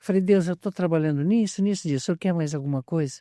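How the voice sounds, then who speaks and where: Recorded very cleanly against a silent background, with a dry, close sound and no echo, a man speaks in a dark, mellow tone with ordinary pitch variation. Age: 70s. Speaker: pastor and missionary. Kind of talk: interview.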